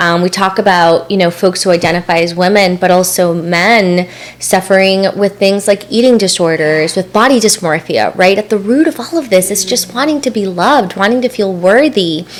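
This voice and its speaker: Over noticeable background noise, a woman speaks at a moderate pace and medium pitch with ordinary pitch variation and hardly any pauses. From El Salvador, then US from age twelve. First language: Spanish. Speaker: mindfulness and spirituality coach. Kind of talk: podcast interview, personal story.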